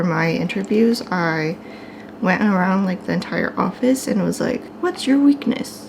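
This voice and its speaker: Soft-spoken and at a medium pitch, a woman talks at a fairly slow pace with ordinary pitch variation over noticeable background noise. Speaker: art vlogger. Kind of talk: casual vlog chat. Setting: at home.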